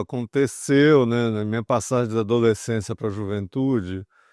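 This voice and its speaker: Recorded with a dry, close sound, no echo and a quiet background, a man speaks at a moderate pace. His pitch is medium, with ordinary variation. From interior of São Paulo state, Brazil. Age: 60s. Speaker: former journalist and financial market communications executive. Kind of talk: oral history interview. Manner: hesitant, many fillers.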